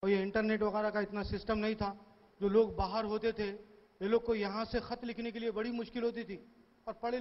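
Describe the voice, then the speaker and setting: Monotone, flat intonation in a Hyderabadi accent. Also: man. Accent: Hyderabadi Dakhini. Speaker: stand-up comedian. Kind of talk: stand-up comedy storytelling.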